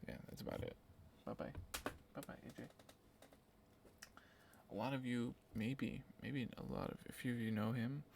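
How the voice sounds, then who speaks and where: A man whispering at a moderate pace, with long, frequent pauses. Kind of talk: ASMR whispering. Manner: whispered.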